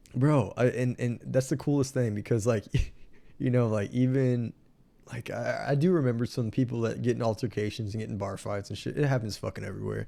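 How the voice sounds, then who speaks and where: A man with a Texan accent, medium pitch and a dark, mellow tone, at a fairly quick pace. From Texas (Marion, near San Antonio). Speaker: podcast host. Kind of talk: casual chat. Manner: animated.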